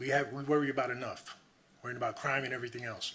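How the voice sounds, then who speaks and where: At a fairly quick pace, a man speaks in a flat monotone at medium pitch. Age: 60s. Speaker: homeless resident giving public comment. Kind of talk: public comment at council meeting. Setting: city council meeting. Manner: emphatic, impassioned.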